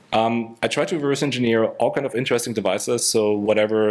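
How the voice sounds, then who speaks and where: A man rattles along at a very fast pace, his intonation staying fairly even. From Germany. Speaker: security researcher. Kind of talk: conference talk. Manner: hesitant, many fillers.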